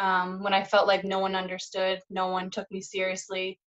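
A woman speaks with a Canadian Maritime accent. The background is quiet. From Nova Scotia, Canada. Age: 30s. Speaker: holistic nutritionist and mental health advocate. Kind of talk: casual interview. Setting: remote video call. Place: home room. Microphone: camera far.

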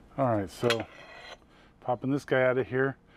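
The recording has a dry sound with no echo but noticeable background noise. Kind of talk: tutorial. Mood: relaxed, wry. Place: workshop.

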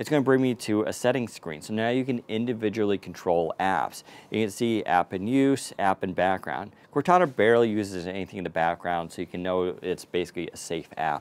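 Moving at a fairly quick pace, a man speaks in a plain, everyday voice with a fairly low pitch. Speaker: tech reviewer. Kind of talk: tutorial. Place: street.

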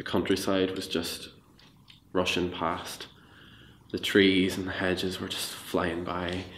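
This man's pitch is very deep and low, and he speaks fairly slowly. Noticeable background noise runs behind him. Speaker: storyteller recounting an experience. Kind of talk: interview answer, narrative storytelling. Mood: reflective, dramatic tension. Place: studio.

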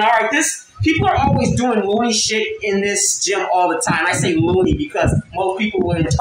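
A man's high-pitched voice at a fairly quick pace, with hardly any pauses, very even loudness, audible room echo and noticeable background noise. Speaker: vlogger. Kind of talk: casual vlog story time. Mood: irritated, ranting. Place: home room. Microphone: phone near.

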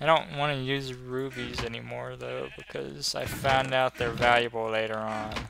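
A man talks at a moderate pace with hardly any pauses over noticeable background noise. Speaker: gaming video creator. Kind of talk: let's play commentary. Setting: home recording. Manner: thinking aloud, hesitant.

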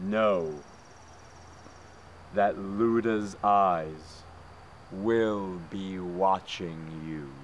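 Using a put-on character voice, a man speaks very slowly at a very deep, low pitch, with long, frequent pauses and clear background noise. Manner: fanatical, shouting.

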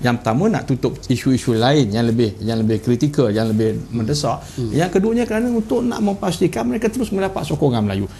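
A man at medium pitch with very wide pitch swings, talking at a very fast pace with hardly any pauses over noticeable background noise. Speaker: state party leader. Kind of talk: political interview. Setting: studio. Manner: halting, many fillers.

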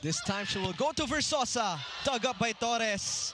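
An excited tone comes through in a raised, projected voice with lively intonation at a fairly slow pace. Noticeable background noise runs underneath. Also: man. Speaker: volleyball play-by-play commentator. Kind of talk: live sports play-by-play commentary on a volleyball match. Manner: excited, laughing at standout plays.

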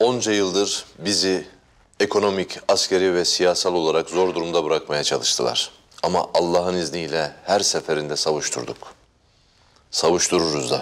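A man's very deep, low voice at a moderate pace. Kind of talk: scripted drama dialogue, solemn speech. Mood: serious, resolute, grave.

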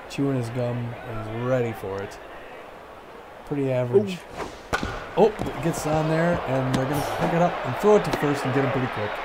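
Amid noticeable background noise, a man speaks at a fairly quick pace but leaves long, frequent pauses. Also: medium pitch for a man, lively intonation. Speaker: gaming channel host. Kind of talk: casual chat. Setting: video game let's play.

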